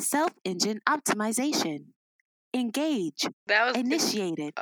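A robotic, put-on character voice, fairly high in pitch, at a moderate pace.

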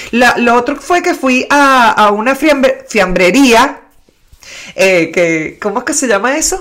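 A high-pitched woman speaks very slowly, her pitch swinging very widely. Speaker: trained broadcaster. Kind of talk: casual chat.

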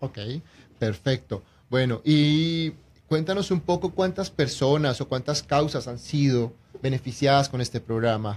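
On a very clean recording with a silent background, a man speaks at a fairly slow pace. His voice is medium-pitched and somewhat breathy, with ordinary pitch variation. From Colombia. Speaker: real estate agent and radio co-host. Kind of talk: radio interview.

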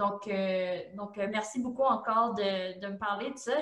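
Audible room echo fills the space as a woman talks at a fairly slow pace. Her medium pitch shows ordinary variation. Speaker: podcast host. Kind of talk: interview.

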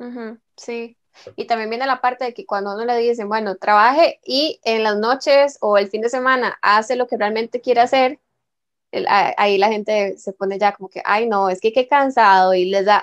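On a very clean recording with a silent background and a dry, close sound with no echo, a woman with a Costa Rican accent talks at a fairly high pitch and moderate pace, with ordinary pitch variation and big swings in loudness. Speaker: podcast host. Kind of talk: casual chat.

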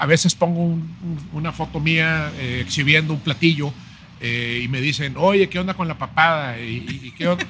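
Speaking at a moderate pace, a man has a plain, everyday voice. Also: fairly high pitch for a man, ordinary pitch variation. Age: 50s. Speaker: chef and writer. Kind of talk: casual interview.

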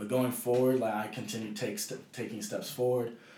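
A man speaks amid noticeable background noise. Audible room echo surrounds his voice. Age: young. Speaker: youth professional footballer. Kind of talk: casual chat. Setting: at home.

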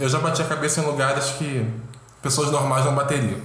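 With a Carioca accent, a man speaks at a fairly high pitch amid noticeable background noise and audible room echo. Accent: carioca Brazilian Portuguese. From Rio de Janeiro, Brazil. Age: 20s. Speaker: fashion model. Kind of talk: casual chat.

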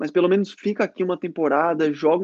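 A man speaks at a high pitch in a dark, mellow tone, with fairly even intonation. The sound is dry and close with no echo, against a quiet background. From Florianópolis, southern Brazil. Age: 20s. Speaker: former student athlete, futsal player. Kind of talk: casual interview chat. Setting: live stream.

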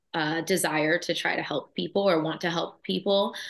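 This woman has a normal speaking voice and keeps a moderate pace. Her intonation is fairly even, and the background is quiet. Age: 20s. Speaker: physician assistant. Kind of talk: interview.

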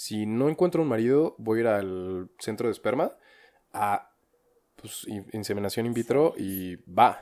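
An unremarkable speaking voice: a man at a medium pitch, talking at a fairly slow pace with lively intonation and big swings in loudness. The recording is very clean, with a silent background. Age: young. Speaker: podcast co-host. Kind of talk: casual chat.

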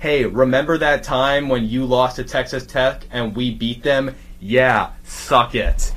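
Speaking at a very slow pace, a man with a medium pitch keeps his intonation fairly even against noticeable background noise. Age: 30s. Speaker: podcaster. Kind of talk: casual chat.

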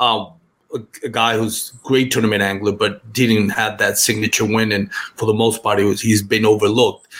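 In a Spanish accent, a man talks at a moderate pace with a fairly low pitch and monotone, flat intonation. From Puerto Rico. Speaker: kayak fishing podcaster. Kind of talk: casual chat. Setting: video call.

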